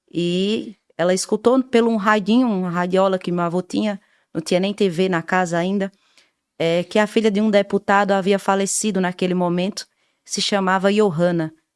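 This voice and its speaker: At a moderate pace and medium pitch, a woman with a northeastern Brazilian accent speaks with fairly even intonation against a quiet background, the sound dry and close with no echo. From Brazilian Northeast, rural Paraíba (Queimadas). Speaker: radio communicator and social activist. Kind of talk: interview.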